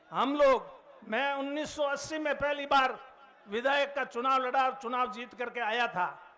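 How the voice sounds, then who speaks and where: A man's raised, projected voice at an extremely high pitch, with fairly even intonation over noticeable background noise. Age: 70s. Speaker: veteran politician. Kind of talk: political rally speech.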